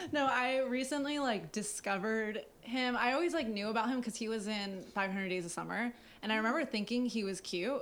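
It is an unremarkable speaking voice from a woman with a fairly high pitch and ordinary pitch variation. She goes at a fairly quick pace with hardly any pauses. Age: 20s. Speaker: podcast co-host. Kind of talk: casual chat. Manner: fast.

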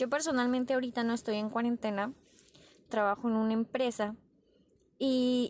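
Her pitch high and her intonation fairly even, a woman speaks in a very clean recording with a silent background. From Tijuana, Baja California, Mexico. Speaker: podcaster. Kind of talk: personal reflection monologue.

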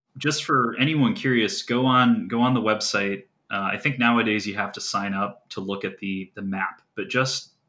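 A man speaks with a Midwestern American accent, his tone bright and sharp and his intonation fairly even. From US Midwest, northeast Ohio. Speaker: geocaching hobbyist. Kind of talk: casual chat.

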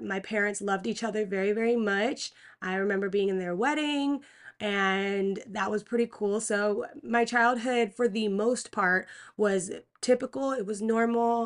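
A woman with an American accent, an ordinary speaking voice, fairly high pitch, and a fairly slow pace against a quiet background. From Pennsylvania. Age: 20s. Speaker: podcast host. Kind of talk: testimony. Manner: casual.

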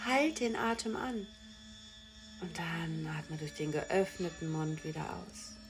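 A woman with a warm tone speaks at a very slow pace as music plays in the background. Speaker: meditation guide and podcast host. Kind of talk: guided meditation, slow and soothing, with pauses. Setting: recorded podcast with background music. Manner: slow, soft-spoken, calm, gentle; warm, loving, unhurried, with long silences.

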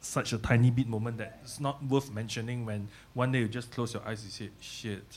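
A somewhat breathy male voice at medium pitch, monotone and flat, at a moderate pace, in a very clean recording with a silent background. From Malaysia, Ipoh. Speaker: music producer. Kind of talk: casual chat.

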